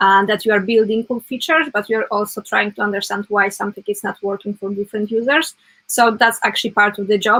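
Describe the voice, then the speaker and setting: Speaking at a very fast pace with a non-native accent, a woman holds a medium pitch and fairly even intonation while faint music plays in the background. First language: not English. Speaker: web developer; guest. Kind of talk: casual interview chat. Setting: live stream. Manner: halting, many fillers. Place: home room.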